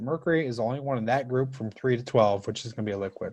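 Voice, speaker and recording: Here a man talks at a very fast pace. His voice sits at medium pitch with a dark, mellow tone. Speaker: high school chemistry teacher. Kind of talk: live online class lecture. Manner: rushed.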